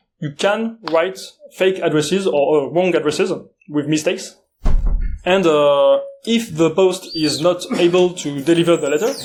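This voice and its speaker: A high-pitched man speaks with a French accent at a moderate pace, with ordinary pitch variation and long, frequent pauses. Music plays in the background, and the room echo is audible. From France. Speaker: security conference speaker. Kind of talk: conference talk. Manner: halting, many filler uhs.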